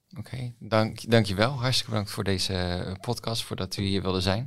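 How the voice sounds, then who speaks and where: A man with a plain, everyday voice, fairly low in pitch, with ordinary pitch variation at a moderate pace, in a very clean recording with a silent background. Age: young. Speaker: podcast host, young doctor. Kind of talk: podcast interview.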